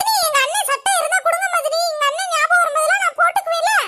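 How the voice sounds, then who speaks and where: In a cartoonish character voice, a woman speaks fairly quickly at an extremely high pitch, her pitch swinging very widely. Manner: wheedling, playful.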